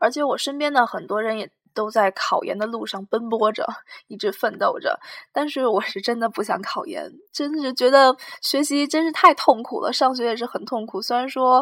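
In a very clean recording with a silent background, a woman speaks at a moderate pace with a high pitch and lively intonation. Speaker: podcast host, university student. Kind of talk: casual solo monologue. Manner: hesitant, many fillers.

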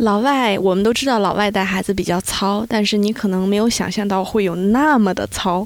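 A woman with a plain, everyday voice speaks at a moderate pace and medium pitch, with fairly even intonation and very even loudness. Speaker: mother living abroad. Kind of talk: casual chat.

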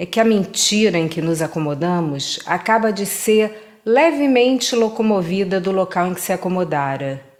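In a normal speaking voice, a woman talks at a medium pitch with lively intonation. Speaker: poetry reader. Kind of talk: poetry reading, reading aloud a literary text. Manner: contemplative, measured, intimate.

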